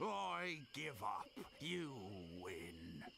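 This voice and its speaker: Against clear background noise, a man puts on a character voice at a medium pitch. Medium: video game. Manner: brash, taunting.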